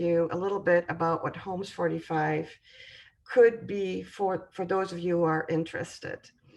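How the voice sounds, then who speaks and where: A woman with a European accent speaks at a fairly low pitch. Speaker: home construction sales representative. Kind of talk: presentation. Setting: video call. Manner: hesitant, many fillers.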